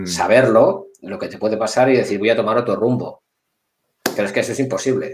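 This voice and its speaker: A man speaks in a plain, everyday voice at a medium pitch. His pace is fairly quick and his intonation lively. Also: big swings in loudness. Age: 50s. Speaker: security director. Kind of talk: casual interview.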